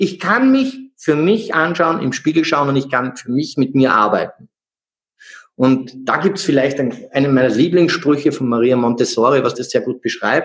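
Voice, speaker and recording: A man speaks with a Salzburg accent. His pace is moderate, with ordinary pitch variation. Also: fairly high pitch for a man. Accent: Austrian (Salzburg). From Austria, Salzburg. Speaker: energy healer and coach. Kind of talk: interview.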